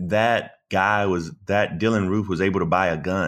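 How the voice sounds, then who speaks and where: A man talks with a Southern US accent. The recording is very clean, with a silent background. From US South, South Carolina. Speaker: political commentator and attorney. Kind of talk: casual interview. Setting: podcast. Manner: eloquent.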